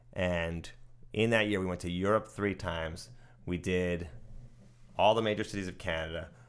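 With an American accent, a man speaks at a moderate pace in a very deep, low voice, his intonation fairly even and his pauses long and frequent. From New Jersey, US. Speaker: guitarist. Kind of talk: interview. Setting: at his home.

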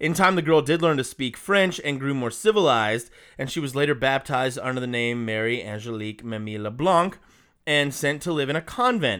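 A man with an American accent, medium pitch, a bright, sharp and animated tone, lively intonation and a fairly quick pace, on a very clean recording with a silent background. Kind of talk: casual chat, storytelling.

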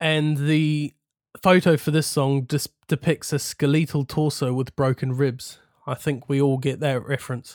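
On a very clean recording with a silent background, a man in a New Zealand accent speaks at a fairly high pitch and a moderate pace, his intonation monotone and flat. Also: dry, close sound with no echo. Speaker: podcast host. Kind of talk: casual chat.

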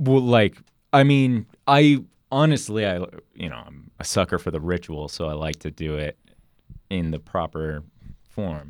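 On a very clean recording with a silent background, a man with a very deep, low pitch speaks at a fairly slow pace, with very wide pitch swings, big swings in loudness, and long, frequent pauses. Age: 20s. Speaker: podcast guest. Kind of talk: casual chat.

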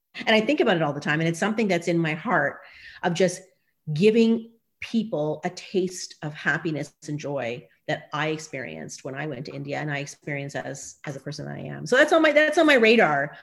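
A woman speaks with a Maritimes accent. Her pace is fairly quick. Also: big swings in loudness. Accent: Canadian English (Maritimes). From Nova Scotia, Canada (Dartmouth). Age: 40s. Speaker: professor. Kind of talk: podcast interview. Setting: video call.

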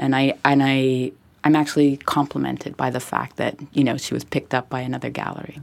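A woman's very deep, low voice in a Montreal accent, monotone and flat at a fairly quick pace, on a very clean recording with a silent background. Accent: Anglo-Montreal Canadian English. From Montreal, Quebec (anglophone, Westmount). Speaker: art gallery director and artist. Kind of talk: casual interview conversation. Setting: recorded in Montreal.

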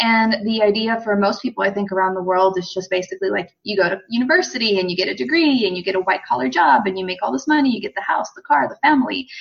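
Talking at a very fast pace with hardly any pauses, a woman with an American accent and medium pitch makes very wide pitch swings over noticeable background noise. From United States. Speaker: female empowerment coach. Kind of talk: podcast interview. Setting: call.

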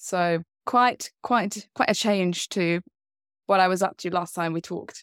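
A woman's unremarkable speaking voice sits at medium pitch, fairly slow and fairly even. The sound is dry and close, with no echo. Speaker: diabetes advocate. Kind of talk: casual chat.

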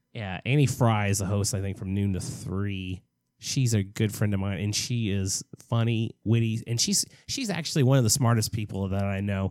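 Recorded very cleanly against a silent background, a man with an American accent uses a normal speaking voice, fairly low in pitch, with ordinary pitch variation at a moderate pace. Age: 40s. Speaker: podcast co-host. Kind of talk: casual chat.

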